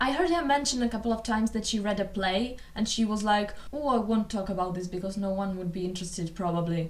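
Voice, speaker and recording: A woman with a non-native accent talks over noticeable background noise. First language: not English. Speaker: booktuber and theatre vlogger. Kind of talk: casual vlog talk to camera. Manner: somewhat halting, non-fluent English.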